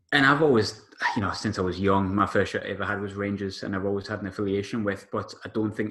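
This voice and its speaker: In an English accent, a man with a fairly low pitch speaks at a very fast pace. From England. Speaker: sports journalist, podcast guest. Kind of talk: casual podcast chat about football.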